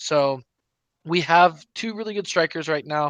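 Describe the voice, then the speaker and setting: Against a quiet background, a man talks in a normal speaking voice at a moderate pace with ordinary pitch variation, the sound dry and close with no echo. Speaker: soccer podcast co-host. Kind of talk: casual sports chat. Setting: live stream.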